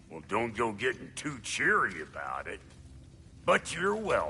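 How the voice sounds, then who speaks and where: A man speaks in a put-on character voice at a moderate pace. Background noise is clearly audible. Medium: video game. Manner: gruff, folksy.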